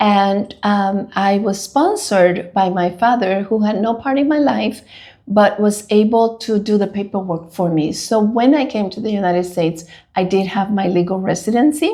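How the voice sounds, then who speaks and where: A woman with a Spanish accent speaks at a moderate pace in a dark, mellow tone, her pitch varying in an ordinary way. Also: medium pitch for a woman. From Dominican Republic. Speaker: school leader. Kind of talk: interview.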